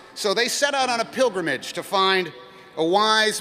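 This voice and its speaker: Against noticeable background noise, a raised, projected voice moves at a moderate pace with ordinary pitch variation. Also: man. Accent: American. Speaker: actor and commencement speaker. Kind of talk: storytelling, parable told within the speech.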